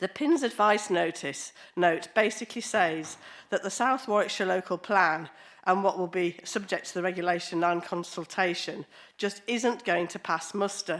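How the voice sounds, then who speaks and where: In an English accent, a woman speaks. Her pace is moderate. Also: medium pitch for a woman, ordinary pitch variation, very clean recording, silent background. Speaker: local councillor. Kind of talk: public meeting speech. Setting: council committee meeting.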